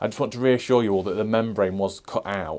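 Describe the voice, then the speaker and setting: Speaking at a moderate pace in a British accent, a man with a fairly low pitch and a dark, mellow tone comes through on a very clean recording with a silent background. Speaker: allotment gardener, YouTuber. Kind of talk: casual vlog talk to camera. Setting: outdoors on allotment.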